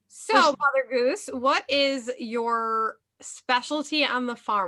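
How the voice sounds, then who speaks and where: A woman speaks in a high pitch with a Minnesota accent, her bright, sharp tone carried by lively intonation on a very clean recording with a silent background. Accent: sounds like Minnesota. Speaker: podcast host. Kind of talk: casual chat.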